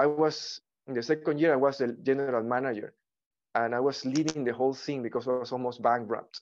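A man with a Spanish accent and fairly even intonation, against a quiet background. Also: medium pitch for a man, fairly quick pace. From Ecuador. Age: 40s. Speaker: artist and actor. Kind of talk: interview conversation. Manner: halting.

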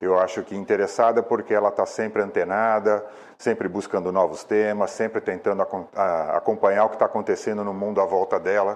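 Speaking at a fairly quick pace, a man barely pauses at all. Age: 60s. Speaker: environmentalist. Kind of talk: video testimonial.

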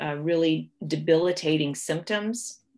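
A woman with a Midwestern American accent speaks with ordinary pitch variation over a quiet background. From US Midwest, Ohio. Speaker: pharmacology professor. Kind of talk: interview. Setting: video call.

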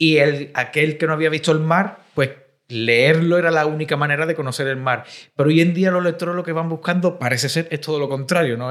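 A man talks at a fairly quick pace in a plain, everyday voice. His pitch is fairly high, with fairly even intonation. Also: very clean recording, silent background. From Cádiz, Andalusia. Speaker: podcast host. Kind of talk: interview conversation.

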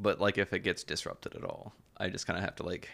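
A man talks at a fairly quick pace in an Appalachian accent. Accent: Appalachian Southern US. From southeast Kentucky, Appalachia. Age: 20s. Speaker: military veteran. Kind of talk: casual chat.

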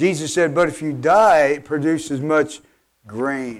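This man has a plain, everyday voice with a fairly high pitch. He speaks at a fairly slow pace with ordinary pitch variation. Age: 50s. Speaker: pastor. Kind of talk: sermon.

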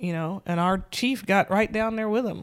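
In a Southern US accent, a woman talks at a moderate pace with ordinary pitch variation. The recording is very clean, with a silent background. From US South, Nashville, Tennessee. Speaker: police sergeant. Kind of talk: casual interview. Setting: sitting on a couch.

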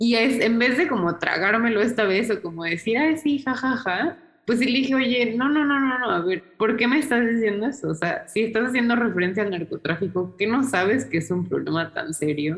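At a moderate pace and hardly pausing, the somewhat breathy voice swings very widely in pitch. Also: woman, fairly high pitch for a woman, very even loudness. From Mexico City, Mexico. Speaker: historian. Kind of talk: interview.

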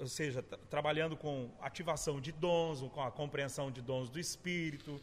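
Fairly slow yet with hardly any pauses, a man speaks in a fairly high, somewhat breathy voice with fairly even intonation. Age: 40s. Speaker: pastor. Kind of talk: casual chat.

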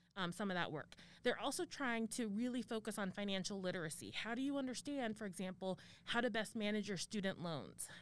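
With a General American accent, a woman in a plain, everyday voice talks at a fairly quick pace, her medium pitch varying in an ordinary way. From Arizona. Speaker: university administrator and professor. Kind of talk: interview.

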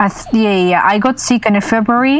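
Speaking with a Russian accent, a woman keeps a fairly slow pace. Her voice has a medium pitch. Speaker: streamer. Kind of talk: casual chat.

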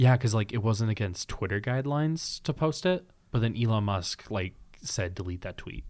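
A man speaks in a normal speaking voice at a moderate pace, his medium pitch carried by lively intonation. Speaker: podcast host. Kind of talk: casual chat.

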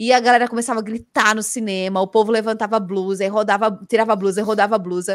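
Very fast speech from a woman, fairly high in pitch and fairly even in intonation. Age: 30s. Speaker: streamer and cultural journalist. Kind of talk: casual chat. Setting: live video stream.

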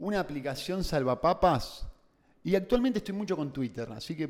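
Lively intonation marks a man's unremarkable speaking voice as he talks fairly quickly. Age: 20s. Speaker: entrepreneur. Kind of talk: casual chat.

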